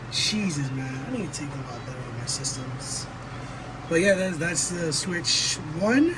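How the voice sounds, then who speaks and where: Amid noticeable background noise and audible room echo, a man with a fairly high voice talks at a fairly slow pace with ordinary pitch variation. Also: big swings in loudness. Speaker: gaming YouTuber. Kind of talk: casual product comparison vlog. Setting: at home. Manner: quieter than usual; hesitant, many fillers.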